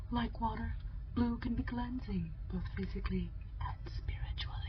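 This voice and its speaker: The delivery proceeds at a moderate pace. Behind it, background noise is noticeable. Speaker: ASMR roleplay creator. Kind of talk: ASMR roleplay, tarot-style card reading.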